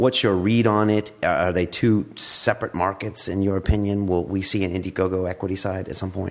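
A man talks at a fairly quick pace with hardly any pauses. He has an unremarkable speaking voice at a fairly low pitch. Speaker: talk show host. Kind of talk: casual interview.

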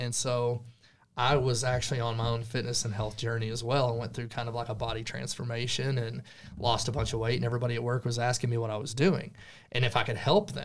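A man with a plain, everyday voice talks at a fairly quick pace, medium pitch and fairly even intonation. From Texas Panhandle. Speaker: real estate agent. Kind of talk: casual chat.

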